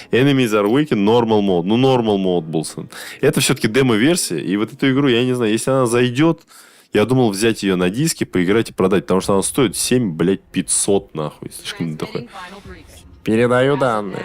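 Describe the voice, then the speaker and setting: Lively intonation at a moderate pace. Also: man, medium pitch for a man. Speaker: gaming streamer. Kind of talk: casual gameplay stream commentary. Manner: loud; casual, swearing, halting with fillers.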